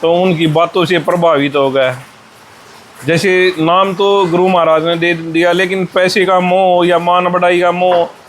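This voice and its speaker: A man speaks with a Haryanvi accent in a high pitch, his delivery monotone and flat at a very even loudness. Noticeable background noise runs underneath. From Haryana, India. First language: Haryanvi (speaking Hindi). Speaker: monk, former wrestler. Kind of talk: interview.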